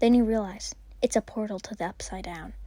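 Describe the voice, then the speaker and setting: A woman speaks at a moderate pace with a medium pitch and a dark, mellow tone. Her voice is somewhat breathy, on a very clean recording with a silent background. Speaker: fan fiction narrator. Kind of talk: improvised second-person story narration. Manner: casual, hesitant with fillers.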